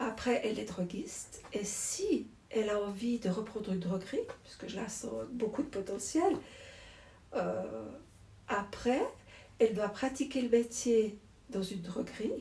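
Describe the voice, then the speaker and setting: At a fairly high pitch, a woman speaks with ordinary pitch variation. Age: 60s. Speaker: druggist, shop owner. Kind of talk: interview.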